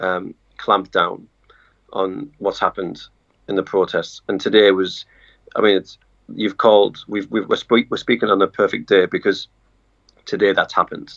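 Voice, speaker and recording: A man with a British accent speaks at a moderate pace, taking long, frequent pauses. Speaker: journalist. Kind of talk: casual interview chat. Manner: hesitant, many fillers.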